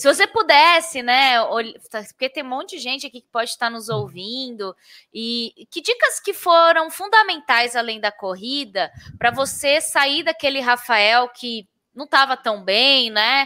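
A woman speaks in a raised, projected voice at a high pitch, with a bright, sharp tone and lively intonation. Her pace is fairly slow, and the sound is dry and close with no echo. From interior of São Paulo state, Brazil. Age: 30s. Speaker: podcast host. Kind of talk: casual interview.

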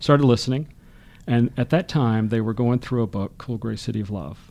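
A man with an American accent, dark and mellow in tone, fairly quick, with ordinary pitch variation, on a very clean recording with a silent background. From US South, Birmingham, Alabama. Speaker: history professor. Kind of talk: casual interview. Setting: studio.

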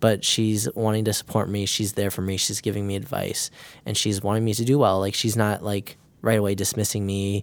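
On a very clean recording with a silent background, a man with an American accent and a plain, everyday voice speaks at a fairly low pitch and a fairly quick pace. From northern Illinois, US. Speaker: nursing student. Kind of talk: casual interview.

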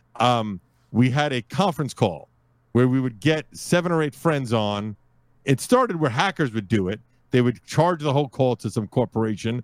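A normal speaking voice with an American accent and lively intonation moves at a moderate pace, in a dry, close sound with no echo on a very clean recording with a silent background. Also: man, medium pitch for a man. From US Northeast, Brooklyn, New York. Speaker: podcast host and network founder. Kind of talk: casual interview.

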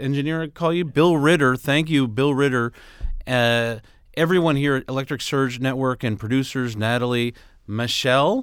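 He has an ordinary speaking voice at medium pitch. This man talks at a moderate pace with ordinary pitch variation. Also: very clean recording, silent background. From New York City. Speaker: podcast co-host. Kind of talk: casual chat.

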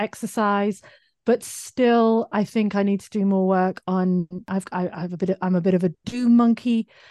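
A woman's dark, mellow voice at medium pitch, with a British accent and fairly even intonation, dry and close with no echo over a quiet background. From UK. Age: 40s. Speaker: digital marketing entrepreneur. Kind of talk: casual interview chat.

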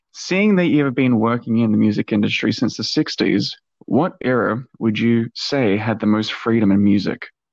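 A man talks in a plain, everyday voice at a medium pitch with ordinary variation. He holds a moderate pace with hardly any pauses against a quiet background. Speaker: podcast host. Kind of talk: interview questions.

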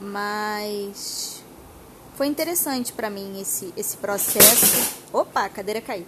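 Against noticeable background noise, a woman talks at a very slow pace and a medium pitch. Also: ordinary pitch variation. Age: 30s. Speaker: podcast host. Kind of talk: casual monologue. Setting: home sofa. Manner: talkative.

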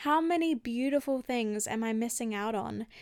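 On a very clean recording with a silent background, a woman with an Australian accent speaks at a moderate pace in a fairly high pitch. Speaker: podcast host, holistic healer and health coach. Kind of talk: solo reflective podcast talk.

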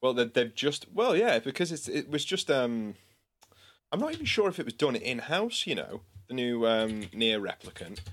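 Recorded very cleanly with a silent background, a man with a northern English accent speaks at a medium pitch with very wide pitch swings. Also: moderate pace. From northern England. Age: 20s. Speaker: musician and podcast co-host. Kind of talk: casual chat.

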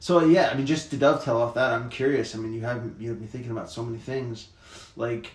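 At a very fast pace, a man with a medium pitch and fairly even intonation makes big swings in loudness, with noticeable background noise and audible room echo. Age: 30s. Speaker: podcast host. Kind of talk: casual chat.

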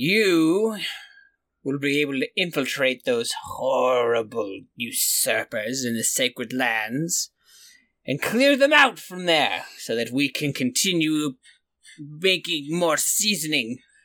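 A put-on character voice at a low-to-middle pitch and a fairly slow pace. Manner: haughty, impatient, commanding.

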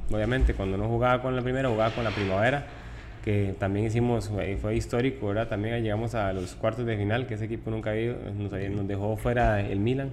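A man talking at a very fast pace in a monotone, flat intonation, with noticeable background noise and audible room echo. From Costa Rica (Tibás, San José). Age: 20s. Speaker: professional footballer. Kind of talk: interview. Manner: halting.

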